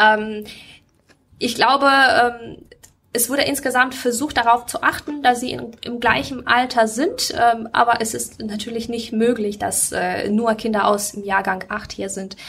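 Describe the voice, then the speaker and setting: A woman talks at a moderate pace with a bright, sharp tone and fairly high pitch. Her loudness swings widely while her pitch varies in an ordinary way. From Ukraine. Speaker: school teacher. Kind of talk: interview.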